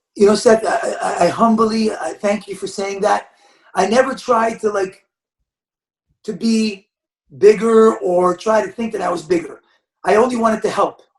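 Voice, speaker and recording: A loud man with a high pitch, fairly even intonation, moderate pace and long, frequent pauses. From Quebec, Montreal. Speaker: basketball coach. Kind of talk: podcast interview.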